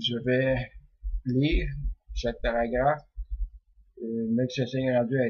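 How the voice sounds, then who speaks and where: A man with a Quebec accent speaks at a fairly slow pace in a relaxed tone. His medium-pitched voice is somewhat breathy, with fairly even intonation. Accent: Québécois French. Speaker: dream interpreter. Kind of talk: religious text commentary. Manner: hesitant, many fillers; relaxed, unhurried.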